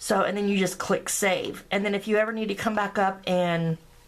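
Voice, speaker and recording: Fairly even in intonation, a plain, everyday voice moves at a moderate pace. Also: woman. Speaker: graphic design tutorial maker. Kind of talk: screen-recorded software tutorial. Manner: casual, filler-heavy.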